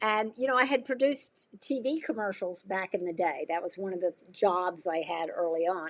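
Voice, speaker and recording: In an American accent, a woman with an unremarkable speaking voice talks at a medium pitch and moderate pace. Her intonation is lively, and the recording is very clean, with a silent background. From US South. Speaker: nonprofit administrator and amateur actor. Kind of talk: podcast interview. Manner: casual, with many fillers.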